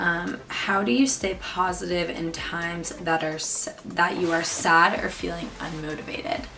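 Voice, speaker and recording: A woman speaking very slowly, with music in the background and audible room echo. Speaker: YouTuber. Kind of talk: casual chat. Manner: casual, many fillers.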